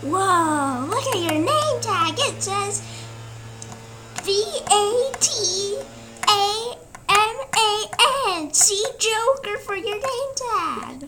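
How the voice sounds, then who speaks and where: A woman speaks in a squeaky, put-on character voice at a very slow pace. She leaves long, frequent pauses over clear background noise. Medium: machinima. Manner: repetitive, eager.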